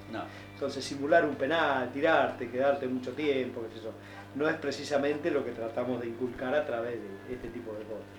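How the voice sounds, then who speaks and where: Over music in the background and audible room echo, a man speaks at a fairly quick pace with medium pitch and fairly even intonation. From Misiones, then Bariloche, Argentina. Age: 60s. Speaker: rowing club coach. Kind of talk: radio interview.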